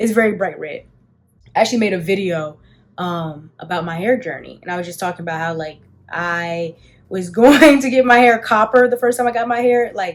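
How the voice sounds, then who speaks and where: A woman with an American accent, a normal speaking voice at medium pitch, lively intonation, big swings in loudness, and a fairly quick pace. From Washington DC, Southeast. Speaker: beauty content creator. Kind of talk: casual chat during makeup.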